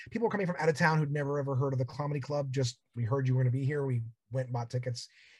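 Somewhat breathy, the voice moves at a very fast pace with ordinary pitch variation. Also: man. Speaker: comedian and podcaster. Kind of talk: casual interview chat.

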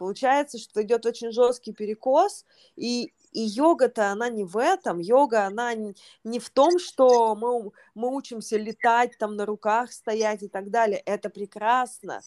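In a very clean recording with a silent background and a dry, close sound with no echo, a woman with a normal speaking voice and a fairly high pitch talks at a fairly slow pace with ordinary pitch variation. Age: 30s. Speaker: yoga teacher and podcast host. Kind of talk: casual chat.

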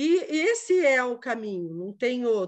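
A woman speaks at a high pitch and a very slow pace. The background is quiet. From Quatro Barras, Curitiba metro area, Brazil. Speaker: visual artist, upcycling entrepreneur. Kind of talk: online panel conversation. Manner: halting.

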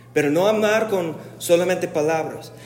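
A man talks at a fairly slow pace. Noticeable background noise and audible room echo fill the recording. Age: 40s. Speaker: pastor. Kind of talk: sermon.

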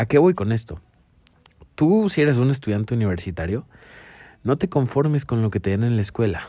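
This man has a dark, mellow tone, lively intonation and a Mexican accent. The recording is very clean, with a silent background. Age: 20s. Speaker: podcaster and motivational speaker. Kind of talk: motivational monologue.

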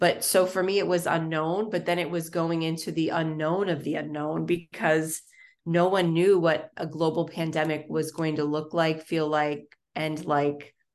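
A woman with an American accent talks in a fairly low pitch and a monotone, flat intonation against a quiet background. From Florida. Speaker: nonprofit consultant, business founder. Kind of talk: casual interview.

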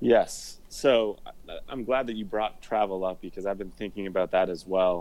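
A man's fairly low voice with a Midwestern US accent. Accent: US Midwest. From Indiana, US Midwest. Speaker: attorney and golf content creator. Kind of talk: casual chat.

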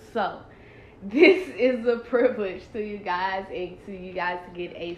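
Heard with audible room echo, a woman of medium pitch speaks at a very slow pace with ordinary pitch variation. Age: 20s. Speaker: podcast host, college student. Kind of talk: casual chat.

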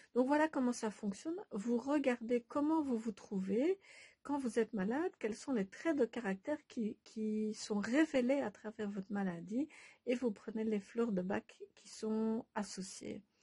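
A woman speaks at a fairly high pitch in a dark, mellow tone with ordinary pitch variation. Her fairly slow delivery has a dry, close sound with no echo. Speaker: Bach flower remedy practitioner and author. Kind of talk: casual monologue to followers. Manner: hesitant, many filler sounds.

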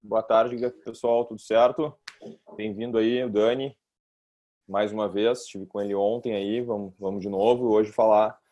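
With a normal speaking voice, a man speaks at a fairly low pitch with fairly even intonation. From Brazil. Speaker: kettlebell instructor. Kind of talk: casual podcast chat.

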